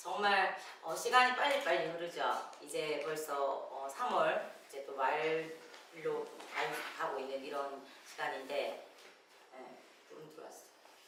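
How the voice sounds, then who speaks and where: The speech is very slow, with long, frequent pauses. Audible room echo and noticeable background noise fill the recording. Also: woman, big swings in loudness. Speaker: pastor. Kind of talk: sermon. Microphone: no mic at first, volume adjusted.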